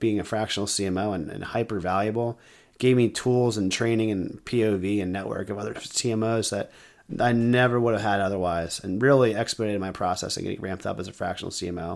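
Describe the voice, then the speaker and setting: Fairly low in pitch, a man talks at a moderate pace with fairly even intonation in a normal speaking voice. The recording is very clean, with a silent background. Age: 30s. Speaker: podcast host and marketing consultant. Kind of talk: solo podcast monologue.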